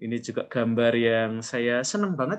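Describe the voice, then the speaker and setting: The speaker goes at a fairly slow pace with lively intonation over a quiet background. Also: man. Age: middle-aged. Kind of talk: online class lecture. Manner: animated.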